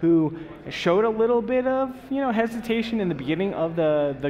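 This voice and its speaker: A man's pitch swings very widely as he talks fairly quickly against noticeable background noise. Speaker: esports co-caster. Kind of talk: live commentary. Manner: excitable.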